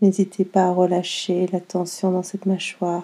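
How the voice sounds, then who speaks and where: Using a calm, soothing, dark and mellow tone, a woman talks at medium pitch and a fairly slow pace. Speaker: yoga nidra teacher. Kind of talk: guided meditation. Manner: slow, calm, soothing, with long pauses.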